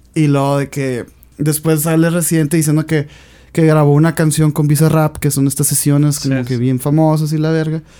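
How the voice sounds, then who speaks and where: A man speaks at a fairly quick pace with a dark, mellow tone, a monotone, flat intonation and a fairly high pitch. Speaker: podcast co-host. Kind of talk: casual chat.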